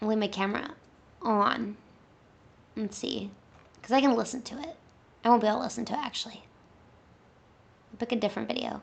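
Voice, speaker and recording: A woman's fairly high voice at a very fast pace, with ordinary pitch variation, big swings in loudness and long, frequent pauses. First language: Spanish. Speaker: gaming streamer. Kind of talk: casual live stream chat.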